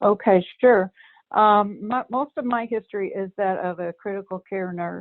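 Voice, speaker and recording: A woman speaks at a moderate pace with a medium pitch and ordinary pitch variation. It is an ordinary speaking voice. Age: 60s. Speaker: recovery group facilitator, former nurse. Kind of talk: interview.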